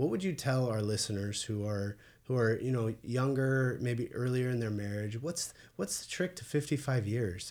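A man with a plain, everyday voice speaks at medium pitch and a moderate pace, with ordinary pitch variation. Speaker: podcast host. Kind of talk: casual chat. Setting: studio.

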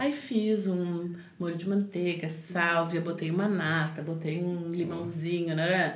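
A woman speaks at a very slow pace in a fairly low pitch. Her pitch varies in an ordinary way, and room echo is audible. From southern Brazil, Porto Alegre area. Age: 30s. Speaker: cook and recipe youtuber. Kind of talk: casual chat.

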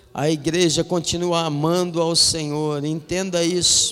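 A man's fairly high voice at a very slow pace, with noticeable background noise. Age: 40s. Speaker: pastor. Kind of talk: sermon. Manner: animated.

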